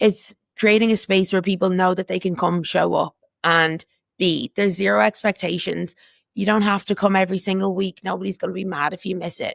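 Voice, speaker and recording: A woman with an Irish accent at a fairly quick pace, with vocal fry, monotone, flat intonation and a dry, close sound with no echo. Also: medium pitch for a woman. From Ireland. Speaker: community walking group co-founder. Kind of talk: casual chat.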